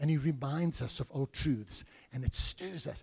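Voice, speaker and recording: A man's dark, mellow voice with a South African accent at a moderate pace, in a dry, close sound with no echo. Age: 70s. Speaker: visiting preacher and church elder. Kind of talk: sermon. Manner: humorous, joking with the congregation.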